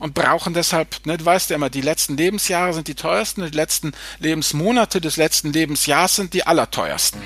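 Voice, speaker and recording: A man talks with fairly high pitch. His pace is fairly quick and his intonation fairly even. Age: 50s. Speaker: finance blogger. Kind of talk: casual chat. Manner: halting.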